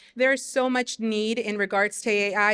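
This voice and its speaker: A woman speaks at a medium pitch and moderate pace in a bright, sharp tone. Her intonation is monotone and flat, against a quiet background. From Mexico, raised in US from third grade. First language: Spanish. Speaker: teacher and community leader. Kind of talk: panel discussion.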